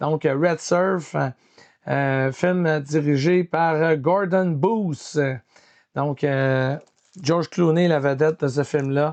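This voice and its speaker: Speaking at a very slow pace with long, frequent pauses, a man with a Quebec accent uses a fairly high pitch and fairly even intonation. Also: very even loudness. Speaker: film collector YouTuber. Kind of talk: casual collection showcase. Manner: hesitant, many fillers.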